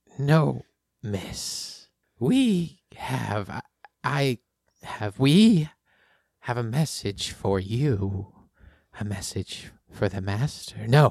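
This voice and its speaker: Using a put-on character voice, a man talks at a medium pitch with very wide pitch swings. He moves at a very slow pace with long, frequent pauses. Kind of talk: eerie riddling speech. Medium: actual play. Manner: cryptic, halting, repeating himself.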